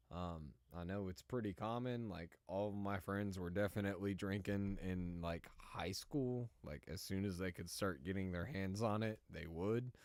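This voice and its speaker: A man with an American accent speaks at fairly low pitch with ordinary pitch variation. His pace is moderate, with hardly any pauses. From Cincinnati area, US Midwest. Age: 30s. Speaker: gaming streamer. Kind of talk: casual chat. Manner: halting.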